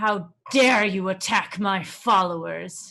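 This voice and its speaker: Using a put-on, growling character voice, a woman speaks very slowly at a medium pitch with fairly even intonation. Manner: commanding, indignant.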